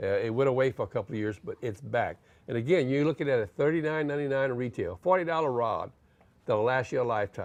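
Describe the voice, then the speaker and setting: Against a quiet background, a man talks at a very fast pace. His pitch is medium, with ordinary variation. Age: 60s. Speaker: outdoors show co-host. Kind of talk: product demo.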